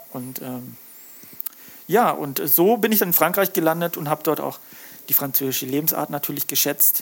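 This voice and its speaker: Noticeable background noise sits behind a man speaking at a moderate pace with long, frequent pauses. His fairly high voice shows ordinary pitch variation. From Lake Constance region, southern Germany. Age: 40s. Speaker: fisheries scientist and fish smoker, author. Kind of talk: casual interview chat.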